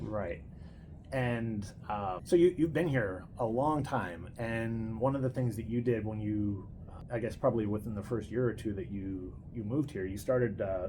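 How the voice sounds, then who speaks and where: A somewhat breathy man speaks at a medium pitch. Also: ordinary pitch variation, moderate pace. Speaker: host and grandson interviewer. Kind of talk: casual interview talk.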